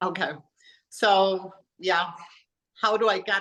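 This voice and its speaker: The background stays quiet. A woman's voice holds a medium pitch. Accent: German. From Germany. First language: German. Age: 40s. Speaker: health coach and personal trainer. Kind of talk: interview.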